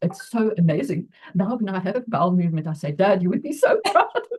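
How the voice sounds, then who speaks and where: A woman's somewhat breathy voice moves at a fairly quick pace. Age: 80s+. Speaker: retired physiotherapist. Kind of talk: interview answer.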